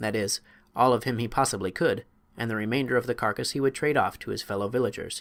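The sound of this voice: With ordinary pitch variation, this is an unforced reading voice.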